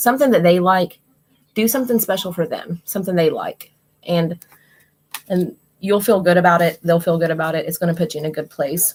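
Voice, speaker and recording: A woman's somewhat breathy, fairly low voice with a West Virginia accent, ordinary pitch variation, and a fairly quick pace. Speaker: tarot card reader and livestreamer. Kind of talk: live stream card reading. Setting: live stream with chat. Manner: casual, conversational.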